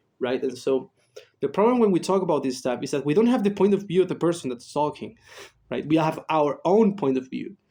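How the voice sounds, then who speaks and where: This man talks fairly quickly with a Spanish accent and a fairly high pitch. His tone is dark and mellow, and his intonation is lively. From Chile. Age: 20s. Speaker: psychologist and YouTuber. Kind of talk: casual monologue. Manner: halting, many fillers.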